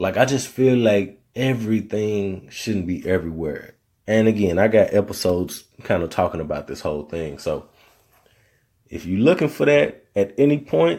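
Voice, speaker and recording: An American-accented man with a fairly low pitch and a dark, mellow tone, lively intonation at a moderate pace, in a very clean recording with a silent background. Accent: Southern, comes and goes. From Arkansas, US South. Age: 30s. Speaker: podcast host. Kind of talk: solo podcast monologue. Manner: casual, conversational.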